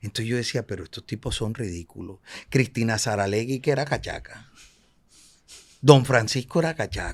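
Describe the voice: With a Colombian Caribbean accent, this voice moves at a moderate pace, carrying a slightly husky edge and ordinary pitch variation. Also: man, fairly low pitch for a man. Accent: Colombian Caribbean coastal Spanish.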